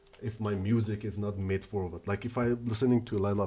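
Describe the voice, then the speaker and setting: A man with a non-native accent speaks at a moderate pace and fairly low pitch. His tone is dark and mellow and somewhat breathy. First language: not English. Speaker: earbud reviewer. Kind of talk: product review. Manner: halting, many fillers.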